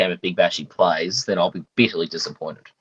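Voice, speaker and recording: Here a man talks with an Australian accent. The sound is dry and close, with no echo. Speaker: fantasy cricket podcast co-host. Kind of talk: casual chat. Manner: joking, conversational.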